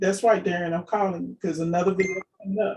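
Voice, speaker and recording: The woman's tone is animated. Her voice is somewhat breathy. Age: 50s. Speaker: business coach and appliance repair owner. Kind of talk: casual interview and coaching chat.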